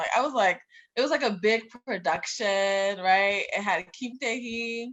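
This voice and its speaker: A woman with an ordinary speaking voice, fairly high in pitch, with lively intonation at a moderate pace. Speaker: club founder, pre-med graduate. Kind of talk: casual chat. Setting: podcast.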